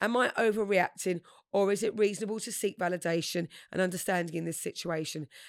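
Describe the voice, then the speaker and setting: A normal speaking voice, recorded very cleanly against a silent background. The sound is dry and close with no echo, the pace fairly quick and the intonation fairly even. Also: woman. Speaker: podcast co-host. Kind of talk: casual chat.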